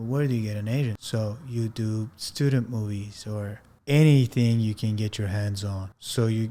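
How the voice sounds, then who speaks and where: A man's medium-pitched, dark, mellow voice in a non-native accent, at a moderate pace with fairly even intonation, in a very clean recording with a silent background. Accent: foreign. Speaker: actor and podcast host. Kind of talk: casual personal monologue. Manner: casual, with some hesitations.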